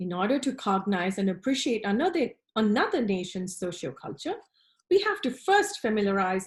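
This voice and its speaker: A woman speaks at a moderate pace in a fairly high, somewhat breathy voice. The background is quiet. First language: not English. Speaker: design professor. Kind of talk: recorded conference presentation. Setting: online presentation with screen share. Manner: formal.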